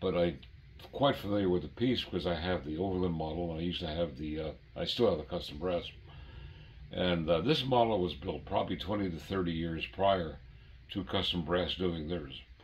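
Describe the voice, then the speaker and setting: A man's very deep, low voice, somewhat breathy, at a fairly quick pace. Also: ordinary pitch variation. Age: 80s+. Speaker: model train collector and former brass dealer. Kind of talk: casual chat. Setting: at home train layout.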